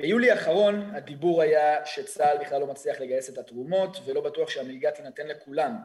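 An ordinary speaking voice from a man, fairly high in pitch, at a moderate pace. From Israel, Kfar Saba. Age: 20s. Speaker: student protest leader, army veteran. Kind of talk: podcast interview.

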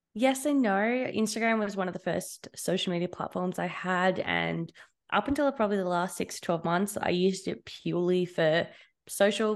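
A woman with an Australian accent speaks with ordinary pitch variation over a quiet background. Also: medium pitch for a woman, moderate pace. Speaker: social media manager. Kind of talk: casual interview.

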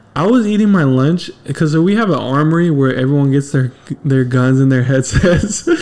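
Fairly high male pitch with ordinary pitch variation, a moderate pace and very even loudness. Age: 20s. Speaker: podcast host. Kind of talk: casual chat. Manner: animated.

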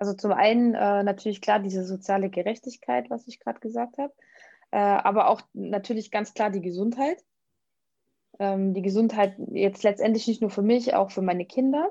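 A woman's dark, mellow tone at a moderate pace over a quiet background. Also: medium pitch for a woman, ordinary pitch variation. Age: 30s. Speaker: vegan nutrition coach. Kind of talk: interview.

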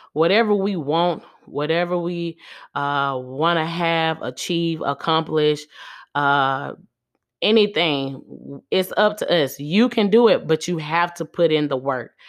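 In a quiet background, a woman with a plain, everyday voice talks fairly slowly at a fairly low pitch, with ordinary pitch variation. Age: 30s. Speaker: podcast host. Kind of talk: casual monologue.

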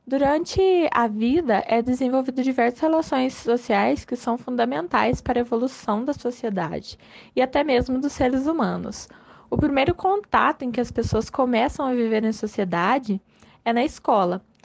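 Lively in intonation, a woman with a high pitch talks at a moderate pace. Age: 20s. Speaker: sociology teacher. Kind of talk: reading aloud.

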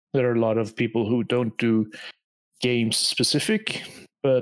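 A man with a normal speaking voice, medium in pitch, his intonation fairly even. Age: 30s. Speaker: podcast co-host, game developer. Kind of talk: casual chat.

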